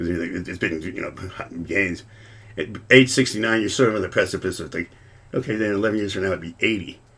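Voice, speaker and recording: The speech is very fast yet broken by long, frequent pauses, with big swings in loudness and ordinary pitch variation. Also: man, fairly low pitch for a man. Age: 60s. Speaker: lawyer and drummer, podcast guest. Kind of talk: casual chat. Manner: halting, many repetitions.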